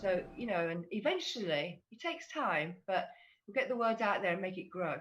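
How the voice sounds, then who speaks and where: The loudness swings up and down a great deal. The pitch also moves through very wide swings. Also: woman, medium pitch for a woman, moderate pace. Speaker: fan community ambassador. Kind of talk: casual group discussion on livestream.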